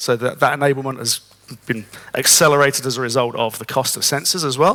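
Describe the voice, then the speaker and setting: Fairly high-pitched male voice with a British accent, a very fast pace and noticeable background noise. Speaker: conference speaker. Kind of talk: conference talk.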